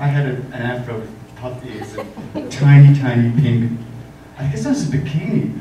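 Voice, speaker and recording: Audible room echo and light background noise surround the voice. Its loudness swings widely while pitch varies in an ordinary way. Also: man, moderate pace. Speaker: makeup artist. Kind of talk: panel talk. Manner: soft-spoken. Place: hall. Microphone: pa.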